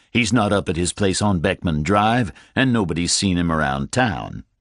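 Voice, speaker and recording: A man's put-on character voice, very deep and low, at a moderate pace with a dry, close sound with no echo. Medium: read story. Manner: measured, courteous.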